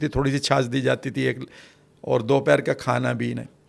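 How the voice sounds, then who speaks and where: The voice carries vocal fry at a moderate pace. The recording is very clean, with a silent background. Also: man. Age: 60s. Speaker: NLP expert. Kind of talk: podcast interview.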